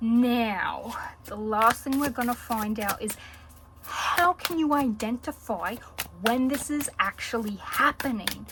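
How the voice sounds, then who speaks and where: A woman in an Australian accent at a very slow pace, with noticeable background noise. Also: fairly high pitch for a woman, ordinary pitch variation. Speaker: tarot reader. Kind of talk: tarot reading video. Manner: casual, with frequent fillers.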